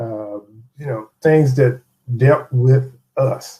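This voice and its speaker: A man speaks at medium pitch in a dark, mellow tone. His voice is somewhat breathy, with ordinary pitch variation. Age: 60s. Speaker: interview guest. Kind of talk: interview.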